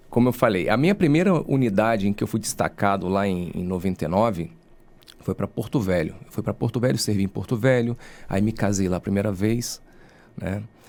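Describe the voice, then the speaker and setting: A man with an ordinary speaking voice and fairly low pitch. He talks at a fairly quick pace with ordinary pitch variation. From Rio de Janeiro state, Brazil (Angra dos Reis). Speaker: lawyer and university professor. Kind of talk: podcast interview.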